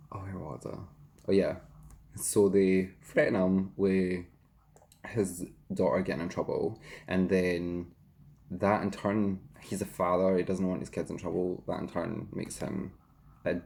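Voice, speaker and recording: Speaking at a fairly slow pace with long, frequent pauses, the voice has a dark, mellow tone, a Scottish accent and fairly even intonation. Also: man, very deep, low pitch for a man. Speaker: YouTuber and hairdresser. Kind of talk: casual chat, eating show.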